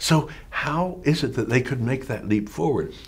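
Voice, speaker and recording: With an American accent, a man speaks at a moderate pace with vocal fry in his voice. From rural Pennsylvania, US. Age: 80s+. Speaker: activist and author; teacher interviewee. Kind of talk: interview. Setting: office. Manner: animated. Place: home room.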